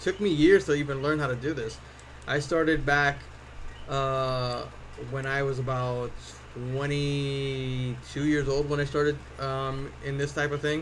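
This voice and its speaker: A man with an American accent at a fairly high pitch, at a fairly slow pace with monotone, flat intonation and audible room echo. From US Northeast (Connecticut). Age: 40s. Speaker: cosplay prop maker and streamer. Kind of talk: live stream chat. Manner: casual, many fillers and repeats.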